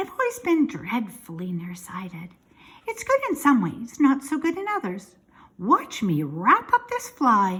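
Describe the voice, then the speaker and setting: A woman puts on a character voice, pitched high. She speaks at a moderate pace. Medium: read story. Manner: kindly, frank, matter-of-fact.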